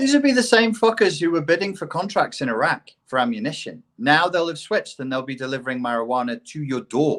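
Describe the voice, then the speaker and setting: A man with a British accent and a high voice, very wide pitch swings, a very fast pace and hardly any pauses, over music in the background. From England. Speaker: CPTSD expert, ex-life coach. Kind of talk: casual podcast conversation. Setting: live online podcast.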